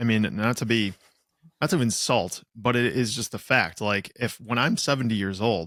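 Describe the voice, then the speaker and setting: An ordinary speaking voice comes through at a moderate pace with ordinary pitch variation, in a very clean recording with a silent background. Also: man, medium pitch for a man. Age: 30s. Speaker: podcast co-host. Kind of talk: casual chat.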